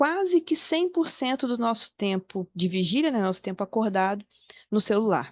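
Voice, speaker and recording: Against a quiet background, a woman speaks at a moderate pace with very wide pitch swings in a dry, close sound with no echo. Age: 40s. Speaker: psychologist. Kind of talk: online talk.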